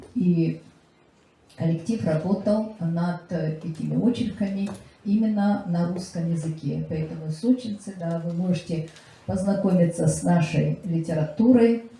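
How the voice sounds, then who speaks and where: Amid noticeable background noise, a woman with a fairly low pitch speaks fairly slowly, with ordinary pitch variation. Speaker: literary scholar and lecturer. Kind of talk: public presentation speech. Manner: halting with many filler sounds.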